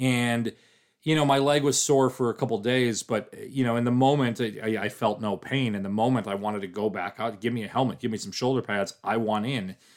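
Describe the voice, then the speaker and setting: A plain, everyday voice from a man at medium pitch, fairly quick pace and fairly even intonation, on a very clean recording with a silent background. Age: 40s. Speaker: podcast host and sports website editor. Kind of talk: casual sports podcast chat.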